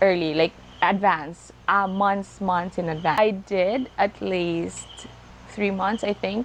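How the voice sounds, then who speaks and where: In a Filipino accent, a woman talks at a moderate pace. Her pitch sits in the medium range. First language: Tagalog. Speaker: vlogger. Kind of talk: casual talk to camera. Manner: halting, code-switching.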